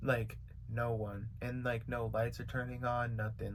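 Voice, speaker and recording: There is audible room echo as a man with an American accent and vocal fry speaks at medium pitch and a moderate pace. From California. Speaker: YouTuber and beat maker. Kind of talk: storytime vlog. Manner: casual, filler-heavy.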